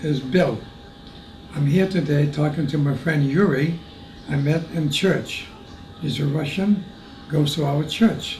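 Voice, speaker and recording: A man with a fairly high voice talks at a fairly slow pace and with ordinary pitch variation, with audible room echo and noticeable background noise. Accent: American. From US Northeast, Lowell, Massachusetts. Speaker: war veteran. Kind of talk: oral history testimony. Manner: halting.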